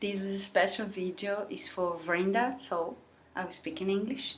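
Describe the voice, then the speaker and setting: Audible room echo surrounds a woman with a non-native accent who speaks at a fairly slow pace. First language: Portuguese. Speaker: vlogger. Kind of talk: heartfelt vlog monologue. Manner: halting.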